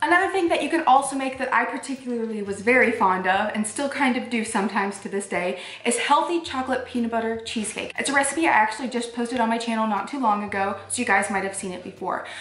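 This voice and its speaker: Very fast and with hardly any pauses, a woman speaks with ordinary pitch variation. The audio has audible room echo and light background noise. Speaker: fasting vlogger. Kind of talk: casual vlog chat. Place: home room.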